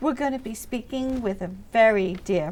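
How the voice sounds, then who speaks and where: Squeaky yet dark, mellow in tone, a woman's voice shows ordinary pitch variation at a fairly slow pace. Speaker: chamber of commerce vice president, TV co-host. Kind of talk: casual talk show chat. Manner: animated.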